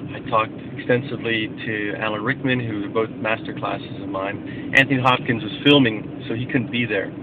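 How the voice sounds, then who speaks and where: A man talks at a fairly quick pace with hardly any pauses and fairly even intonation. The sound is dry with no echo, though noticeable background noise is present. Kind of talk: casual vlog chat. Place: car. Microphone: phone near.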